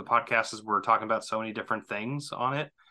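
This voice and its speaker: Speaking in an American accent, the voice carries a bright, sharp tone. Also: man. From Southwest Missouri. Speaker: podcast guest. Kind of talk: casual chat. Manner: halting, many fillers and repeated words.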